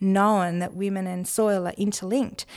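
A woman speaks in an Australian accent at a medium pitch. Her intonation is monotone and flat, at a moderate pace. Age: 50s. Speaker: novelist and farmer. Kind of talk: interview. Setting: studio.

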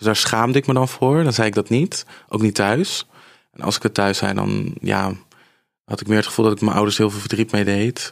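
Here a man speaks at a moderate pace with ordinary pitch variation. The sound is dry and close with no echo, on a very clean recording with a silent background. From Netherlands, Apeldoorn (Gelderland). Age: 20s. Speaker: influencer undergoing cosmetic surgery. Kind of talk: casual interview.

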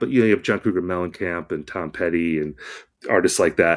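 The very clean recording with a silent background carries a man's voice with ordinary pitch variation. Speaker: music critic. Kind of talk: casual chat.

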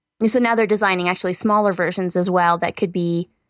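A woman's normal speaking voice at medium pitch, with ordinary pitch variation. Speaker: co-host presenting science news. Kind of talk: casual podcast news segment. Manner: conversational, filler words.

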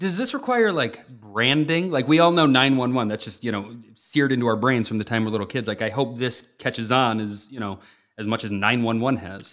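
A man's normal speaking voice, medium in pitch with ordinary pitch variation, at a fairly quick pace with hardly any pauses. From US Midwest, Chicago area (Northwest Indiana). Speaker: radio and TV host, guest co-host. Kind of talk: news discussion podcast.

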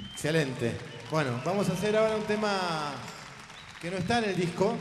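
A man speaks at a moderate pace with audible room echo. Crowd noise murmurs in the background. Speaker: musical director and emcee. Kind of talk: live concert emceeing. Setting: stage with audience.

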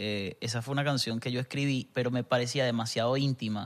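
A man with a Venezuelan accent at a very fast pace. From Venezuela, Barinas. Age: 20s. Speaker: musician. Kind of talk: casual chat.

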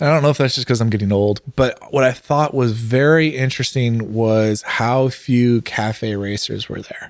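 A slight Californian accent comes through at a moderate pace, with hardly any pauses and fairly even intonation. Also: man, medium pitch for a man. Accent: general American, slight Californian. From Northern California. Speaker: podcast host. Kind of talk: casual banter.

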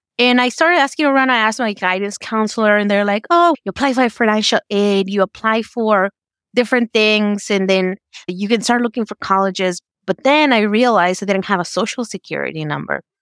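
Fairly quick and fairly high, a woman speaks with a Spanish accent and ordinary pitch variation. The sound is dry and close, with no echo. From Mexico, raised in Georgia from age 14. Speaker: family medicine resident doctor. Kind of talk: interview, personal story.

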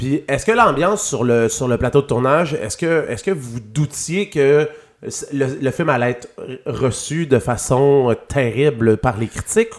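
This man has an ordinary speaking voice. His pitch is fairly high, his intonation lively, and his pace fairly slow. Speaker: podcast host. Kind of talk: interview.

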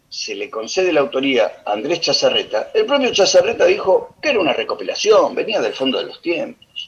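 Here a man speaks in a Rioplatense accent. His pace is moderate. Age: old. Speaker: radio tango program co-host. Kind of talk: radio music commentary.

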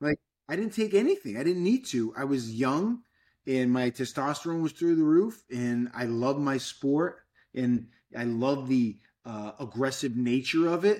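A man talks at a moderate pace with a fairly high pitch and an American accent. He has a normal speaking voice. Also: lively intonation, very clean recording, silent background. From Fall River, Massachusetts. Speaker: podcast host, fitness coach. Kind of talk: casual interview chat.

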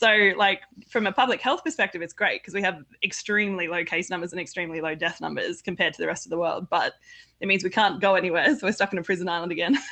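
Against a quiet background, a woman with an Australian accent speaks very fast at a medium pitch, her tone bright and sharp, with ordinary pitch variation. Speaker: pipe band organization president. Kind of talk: casual chat.

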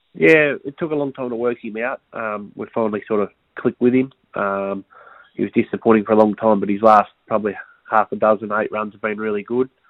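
A normal speaking voice at a fairly quick pace, with big swings in loudness and fairly even intonation. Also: man, fairly low pitch for a man. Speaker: racing tipster. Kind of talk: racing preview clips.

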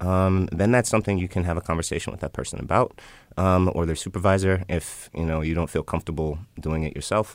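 Spoken at a very fast pace with fairly even intonation and an American accent, on a very clean recording with a silent background. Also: man, very deep, low pitch for a man. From Chicago. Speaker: diversity and inclusion expert, former lawyer. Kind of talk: explanatory conversation.

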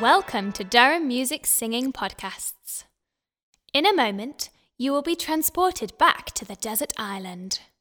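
With music in the background, a high-pitched woman speaks in an animated tone at a fairly slow pace, her pitch swinging very widely. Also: big swings in loudness. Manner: clear, instructive, paced with slow counted beats; gently animated storytelling tone, formal teacher-like.

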